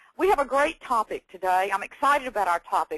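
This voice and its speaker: A woman with a Texan accent speaks in a fairly high pitch with very wide pitch swings, the sound dry and close with no echo. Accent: Texan Southern. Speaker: education presenter and former teacher. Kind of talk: webinar presentation. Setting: online webinar. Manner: enthusiastic.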